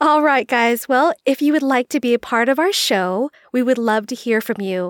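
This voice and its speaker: Here is an ordinary speaking voice with lively intonation. The sound is dry and close, with no echo. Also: woman. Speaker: podcast co-host. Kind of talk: casual chat.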